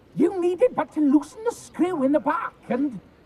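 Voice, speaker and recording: The speaker puts on a character voice pitched high. It moves at a moderate pace. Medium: video game. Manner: panicky, pleading.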